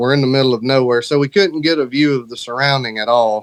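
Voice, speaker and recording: Heard in a dry, close sound with no echo, a man with a Southern US accent talks at medium pitch with fairly even intonation. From Alabama, US South. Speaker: horror author. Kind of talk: interview.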